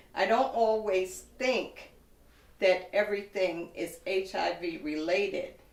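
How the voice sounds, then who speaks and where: A woman speaks at a very slow pace with a medium pitch. Room echo is audible around her voice. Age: 60s. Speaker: woman living with HIV, advocate. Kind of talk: testimony. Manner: formal.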